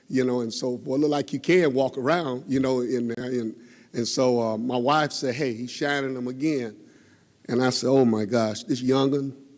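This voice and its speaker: Audible room echo carries a man with a Southern US accent, who speaks at a fairly quick pace in a medium pitch with ordinary pitch variation. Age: 60s. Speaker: member of the public at council meeting. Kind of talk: public comment at meeting. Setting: city council chamber. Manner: halting.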